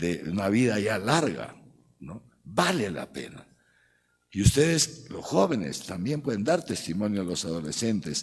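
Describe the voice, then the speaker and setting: With very wide pitch swings, a man talks at a fairly slow pace. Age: 60s. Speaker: archbishop. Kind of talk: lecture. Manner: animated.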